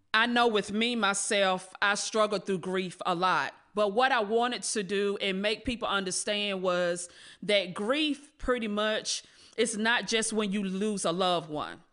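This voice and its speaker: Speaking fairly slowly with an American accent, a woman has a bright, sharp tone at a medium pitch with ordinary pitch variation, set against a quiet background. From North Carolina, Rocky Mount. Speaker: reentry program manager. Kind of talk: podcast interview. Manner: halting, many fillers.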